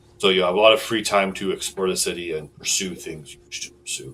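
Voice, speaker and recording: A man puts on a character voice at a fairly low pitch. He speaks at a very fast pace. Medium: actual play. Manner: formal, businesslike.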